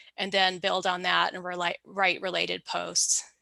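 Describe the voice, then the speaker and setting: Speaking at a moderate pace, a woman sounds dry and close with no echo. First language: German. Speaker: early retiree and travel blogger. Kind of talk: interview conversation.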